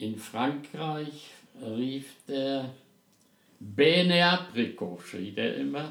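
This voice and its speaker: In a room with audible echo, a man talks at a very slow pace with long, frequent pauses, using a fairly high pitch and lively intonation. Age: 80s+. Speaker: podcast host's father. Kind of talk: casual chat. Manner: halting.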